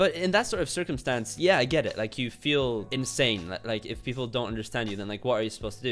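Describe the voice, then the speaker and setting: With music in the background, a man speaks at a very fast pace with lively intonation and a medium pitch. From Poland. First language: Polish. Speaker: YouTuber. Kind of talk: casual commentary. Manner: halting, repetitive stammers.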